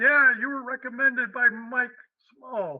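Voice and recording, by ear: Putting on a character voice, a man talks at a fairly slow pace in an extremely high pitch.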